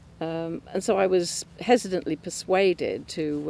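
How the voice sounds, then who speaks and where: In an English accent, a woman speaks at a fairly slow pace with a fairly low pitch, ordinary pitch variation, a dark, mellow tone and vocal fry. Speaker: churchgoer giving testimony. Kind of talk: testimony. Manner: halting, many fillers.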